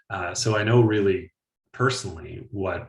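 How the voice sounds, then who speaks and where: A man with an Atlantic Canadian accent speaks at a moderate pace with ordinary pitch variation. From Atlantic Canada (east coast). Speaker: climate policy analyst. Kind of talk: webinar panel discussion.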